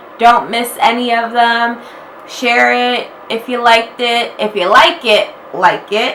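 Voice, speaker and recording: A woman with a fairly high pitch speaks at a very slow pace. Audible room echo and noticeable background noise are present. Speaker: YouTuber. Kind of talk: casual vlog talk. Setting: at home, wearing a robe. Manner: chatty, filler-heavy.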